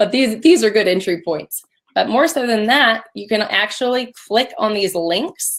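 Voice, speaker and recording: The voice sounds energetic, with very wide pitch swings. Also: woman. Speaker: recruiting sourcing expert. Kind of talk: webinar presentation. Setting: live webinar. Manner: casual, energetic.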